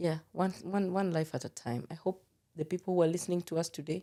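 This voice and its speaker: Speaking at a fairly quick pace, a woman has a dark, mellow tone and a fairly low pitch. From Kenya, Nairobi. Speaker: film producer. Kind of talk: interview conversation. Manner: animated.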